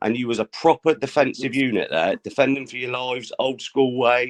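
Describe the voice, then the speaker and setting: The sound is dry and close, with no echo. A man speaks fairly quickly at medium pitch with vocal fry. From southern England (Somerset, Portsmouth, London). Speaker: football fan contributor. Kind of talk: casual debate.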